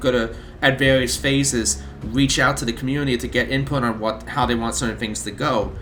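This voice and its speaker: Heard over noticeable background noise and audible room echo, the speaker moves at a fairly quick pace with ordinary pitch variation. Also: man. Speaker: mod team member, video host. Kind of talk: casual video update. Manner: casual, with repeated words.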